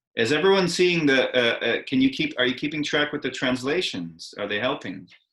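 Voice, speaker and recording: A man with fairly high pitch, vocal fry and lively intonation at a fairly quick pace. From Russia. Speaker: actor, educator. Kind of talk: online lecture to students. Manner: hesitant, many fillers.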